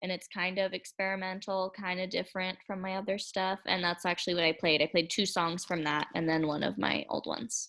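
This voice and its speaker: A woman with a slight country accent talks at a fairly quick pace in a bright, sharp tone. Her intonation stays monotone and flat, with hardly any pauses. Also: medium pitch for a woman. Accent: slight country twang. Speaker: singer-songwriter. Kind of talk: interview.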